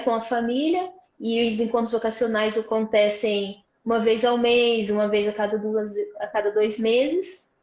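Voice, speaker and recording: A woman with a normal speaking voice talks at a moderate pace in a fairly high pitch with fairly even intonation. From Brazil, Vale do Paraíba (São Paulo state). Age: 20s. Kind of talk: testimony. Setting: live stream.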